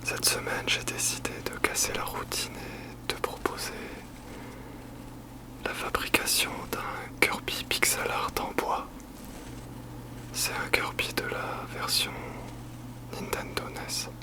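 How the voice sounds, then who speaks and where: Whispering very slowly, a man leaves long, frequent pauses while noticeable background noise carries on. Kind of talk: ASMR craft tutorial. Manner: whispered.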